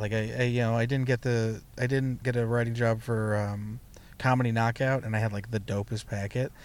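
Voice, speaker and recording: This speaker has an unremarkable speaking voice with an American accent. The pace is fairly quick. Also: man. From US West Coast, San Jose (Bay Area). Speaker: stand-up comedian. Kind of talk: casual chat. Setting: outdoors at an overlook.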